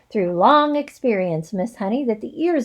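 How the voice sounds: Lively intonation comes through in a natural reading voice.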